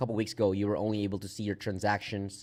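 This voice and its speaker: This man's voice sits at a fairly low pitch with monotone, flat intonation. The recording is very clean, with a silent background. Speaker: crypto app founder hosting livestream. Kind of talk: casual livestream update. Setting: livestream with screen share. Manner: halting, repeats words.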